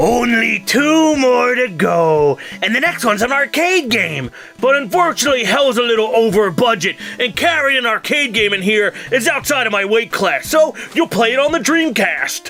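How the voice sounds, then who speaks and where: Putting on a character voice at an extremely high pitch, a man talks at a moderate pace over clear music in the background. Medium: comedy sketch. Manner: taunting, playful.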